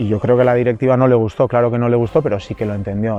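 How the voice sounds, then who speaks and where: Music plays in the background as a man speaks. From Gipuzkoa, Basque Country, Spain. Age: 30s. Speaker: professional footballer. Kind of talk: interview answer.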